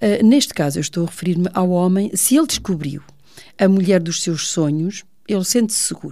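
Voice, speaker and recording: Dark and mellow in tone, a woman with medium pitch talks at a fairly quick pace with ordinary pitch variation. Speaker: teacher. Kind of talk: radio talk show.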